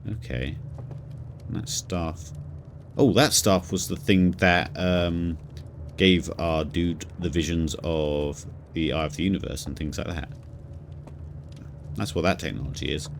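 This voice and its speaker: A man with a southern English accent speaks in a very deep, low voice. He goes at a fairly slow pace with ordinary pitch variation and long, frequent pauses. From southern England. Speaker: video game streamer. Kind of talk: live gameplay commentary.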